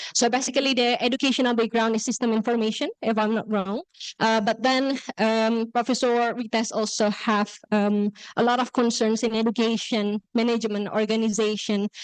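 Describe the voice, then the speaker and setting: A speaker with an Indonesian accent talks at a moderate pace in a monotone with flat intonation, keeping the loudness very even against a quiet background. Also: woman, fairly high pitch for a woman. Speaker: workshop moderator. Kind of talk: event introduction. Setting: classroom with audience, also on Zoom. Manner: hesitant, many fillers.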